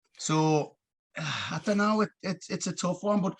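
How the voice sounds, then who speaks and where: A man with a Geordie accent speaks at a moderate pace. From northeast England, Gateshead. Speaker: youth football coach. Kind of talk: casual chat.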